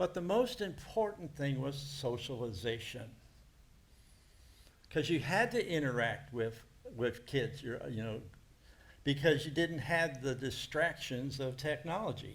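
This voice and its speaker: A somewhat breathy man with a fairly high pitch and lively intonation talks at a fairly slow pace with long, frequent pauses, and audible room echo. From United States. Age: 70s. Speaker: preacher. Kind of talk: sermon.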